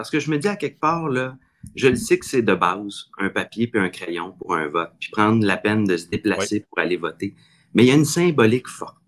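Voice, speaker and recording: The man's pitch is medium, with very wide swings. He talks at a fairly quick pace. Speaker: city mayor. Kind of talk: podcast interview.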